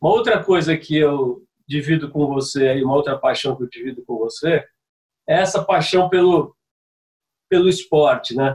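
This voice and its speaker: This man talks at a moderate pace, breaking often with long pauses. His fairly high pitch shows ordinary variation. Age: 50s. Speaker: communications veteran and former surf commentator. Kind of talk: casual interview chat.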